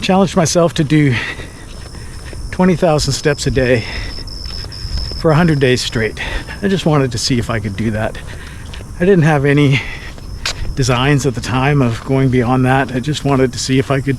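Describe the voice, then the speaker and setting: A man speaks at a moderate pace, with long, frequent pauses. Background noise is noticeable. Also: medium pitch for a man, ordinary pitch variation. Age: 60s. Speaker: amateur runner. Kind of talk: casual talk to camera. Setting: outdoors.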